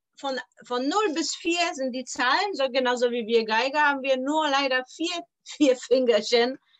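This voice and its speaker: A woman speaks with a Polish accent in a high voice. Her pace is fairly slow, with ordinary pitch variation. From Poland (Poznań). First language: Polish (speaking German). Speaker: violin teacher. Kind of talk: interview.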